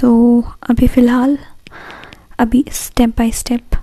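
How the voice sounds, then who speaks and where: Soft-spoken, a woman uses a fairly high pitch and a dark, mellow tone, keeping her intonation fairly even. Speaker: beauty/craft YouTuber. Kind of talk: tutorial. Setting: at home at night. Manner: quiet, soft-spoken; slow.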